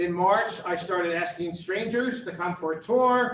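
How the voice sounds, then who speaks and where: A man talks loudly at a moderate pace, high-pitched, with an American accent. His pitch varies in an ordinary way. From Philadelphia, US. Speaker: university dean and campus director. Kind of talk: presentation to a business audience. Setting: live talk with in-person and online audience. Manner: energetic.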